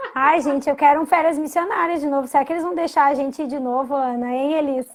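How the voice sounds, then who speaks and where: Over noticeable background noise, a woman talks at a very fast pace. Her pitch is high and her intonation fairly even. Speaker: guest bible storyteller. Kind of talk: casual live-stream chat. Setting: Instagram live.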